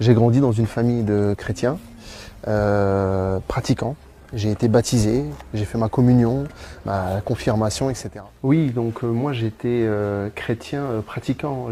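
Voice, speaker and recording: Words arrive very slowly, with pitch that moves in an ordinary way. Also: man. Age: 30s. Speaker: convert giving testimony. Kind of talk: testimony. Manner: halting, many hesitations.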